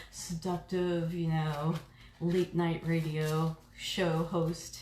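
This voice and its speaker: A woman speaks at a fairly low pitch with ordinary pitch variation. Noticeable background noise runs underneath. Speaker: reiki practitioner and oracle card reader. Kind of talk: live stream card reading. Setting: live stream from home reiki room. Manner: casual, chatty with fillers.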